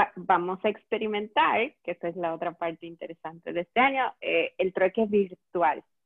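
A woman talks at a fairly slow pace with ordinary pitch variation. It is a plain, everyday voice. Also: medium pitch for a woman. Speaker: eco-store owner and event organizer. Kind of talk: casual chat. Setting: Facebook Live video call.

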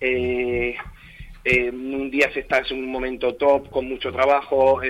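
The intonation stays monotone and flat. A man delivers it at a fairly slow pace. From Spain, Torre Pacheco (Murcia region). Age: young. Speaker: actor. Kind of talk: radio interview.

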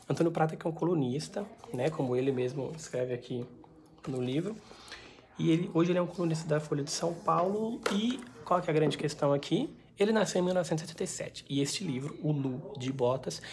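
Her voice very deep and low in pitch, a woman speaks somewhat breathily at a moderate pace with lively intonation. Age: 20s. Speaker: book vlogger. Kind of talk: book review vlog. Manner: casual, chatty.

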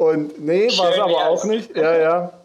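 A man's high voice, with ordinary pitch variation, carries along at a moderate pace. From Leipzig, eastern Germany. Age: 40s. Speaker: podcast host. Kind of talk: casual chat.

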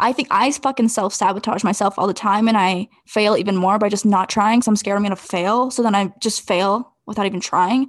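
At a moderate pace, a woman speaks in a plain, everyday voice of medium pitch over a quiet background. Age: 20s. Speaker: podcast co-host. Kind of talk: casual chat.

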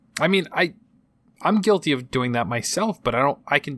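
In a very clean recording with a silent background, a man with an American accent speaks at a fairly quick pace with very wide pitch swings. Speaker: gaming podcast host. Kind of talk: casual chat.

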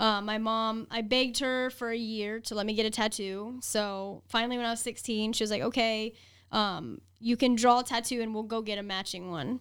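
A woman with an American accent speaks at a moderate pace. She leaves hardly any pauses. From Columbus, Ohio, US. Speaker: model and vegan activist. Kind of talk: casual interview chat. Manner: animated, casual.

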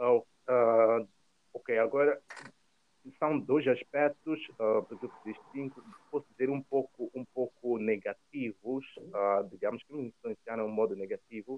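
The speaker goes at a fairly slow pace with long, frequent pauses, ordinary pitch variation and big swings in loudness. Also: man, medium pitch for a man. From Mozambique. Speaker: former swimmer living abroad. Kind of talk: interview conversation. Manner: hesitant, repeats words.

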